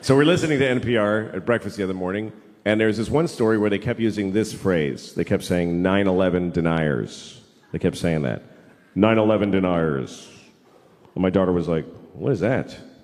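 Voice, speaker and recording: An ordinary speaking voice, this man talks at a fairly low pitch and a fairly quick pace with lively intonation and an American accent. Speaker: stand-up comedian. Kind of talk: stand-up comedy routine to a live audience. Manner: casual, conversational, self-deprecating.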